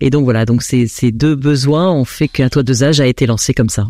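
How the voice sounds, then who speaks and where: Fairly quick speech comes from a woman with a very deep, low pitch. Her tone is dark and mellow, with ordinary pitch variation. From France. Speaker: association founder. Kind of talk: radio interview.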